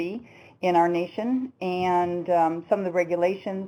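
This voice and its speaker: A woman with an American accent speaks at medium pitch and a moderate pace. Her tone is dark and mellow, and her intonation fairly even. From US Midwest, Milwaukee, Wisconsin. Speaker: hospice care presenter. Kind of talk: webinar presentation. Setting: webinar.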